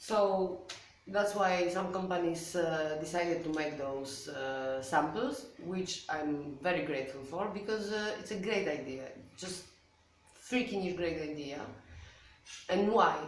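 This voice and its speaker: With a Polish accent, a woman talks at a fairly slow pace in a fairly low voice with ordinary pitch variation, leaving long, frequent pauses amid audible room echo and noticeable background noise. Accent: Polish accent, said to sound Russian. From Poland. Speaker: watercolor artist and video creator. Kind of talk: casual tutorial to camera. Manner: hesitant, many fillers.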